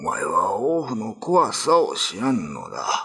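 A man talks in a put-on character voice. His pace is fairly slow. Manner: resigned, admonishing.

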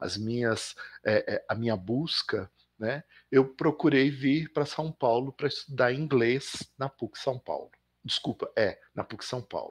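A man in a plain, everyday voice speaks at a fairly slow pace and medium pitch. The recording is very clean with a silent background, dry and close with no echo. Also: ordinary pitch variation. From Belo Horizonte, Minas Gerais, Brazil. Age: 50s. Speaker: professor and visual artist. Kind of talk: interview.

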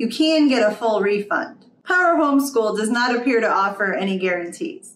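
Audible room echo around a woman at a moderate pace. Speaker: homeschool reviewer. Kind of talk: product review explainer. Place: home room.

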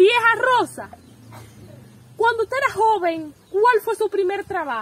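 Lively intonation at a fairly slow pace, long, frequent pauses, dry sound with no echo. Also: woman, extremely high pitch for a woman. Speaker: interviewer, granddaughter, channel host. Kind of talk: casual talk to camera. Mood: playful, joking. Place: home room. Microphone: handheld.

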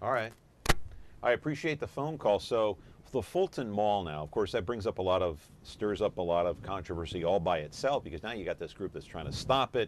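With an American accent, a man speaks in an unremarkable speaking voice, the sound dry with no echo and light background noise behind it. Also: fairly low pitch for a man, lively intonation, fairly quick pace. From California. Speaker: talk show host. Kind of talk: live call-in talk show. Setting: showroom floor. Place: studio. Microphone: lapel.

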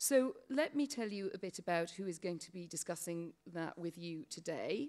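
Against a quiet background, a woman with a British accent speaks with lively intonation. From Britain. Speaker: panel moderator. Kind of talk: panel discussion. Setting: stage with audience. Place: hall. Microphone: podium.

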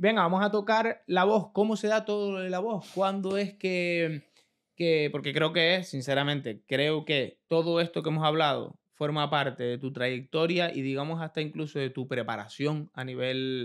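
A man speaks at a fairly slow pace with ordinary pitch variation. The background is quiet. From Canary Islands. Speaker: podcast host. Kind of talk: interview. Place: studio. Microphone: studio mic.

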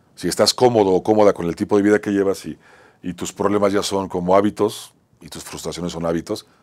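Against a quiet background, a man with a very deep, low pitch speaks at a very fast pace. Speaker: talk show host and actor; talk show host, actor. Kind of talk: motivational monologue. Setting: studio. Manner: halting, repetitive. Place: studio. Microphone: lapel.

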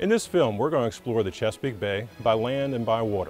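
Faint music plays behind a man who talks at a very fast pace in a dry sound with no echo. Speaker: chef. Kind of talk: interview answer. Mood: warm, nostalgic. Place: waterside.

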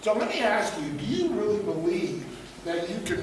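Speech at a moderate pace comes with noticeable background noise and audible room echo. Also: man. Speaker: guest. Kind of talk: motivational talk. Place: hall. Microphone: camera far.

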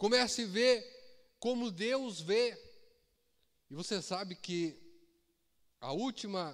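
A man is speaking. The background is quiet. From Brazil. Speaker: preacher. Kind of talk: sermon. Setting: church with congregation. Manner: animated, exhorting the congregation; repetitive, call-and-response with shouts of Aleluia. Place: church. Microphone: handheld.

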